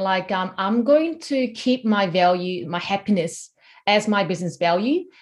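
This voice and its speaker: Speaking in a Korean accent, a woman with a medium-pitched, somewhat breathy voice uses lively intonation at a fairly slow pace. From South Korea. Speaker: personal trainer. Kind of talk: interview.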